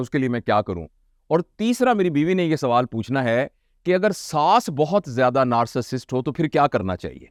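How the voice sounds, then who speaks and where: A man's fairly high voice with very wide pitch swings on a very clean recording with a silent background. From Pakistan. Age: 60s. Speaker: motivational speaker. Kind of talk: lecture.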